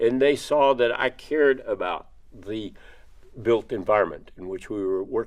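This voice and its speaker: At a moderate pace, a man with an American accent speaks at a medium pitch, with ordinary pitch variation and big swings in loudness. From Texas (Victoria). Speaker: construction industry executive, alumnus. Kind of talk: interview talk on leadership. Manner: halting, repeated words and fillers.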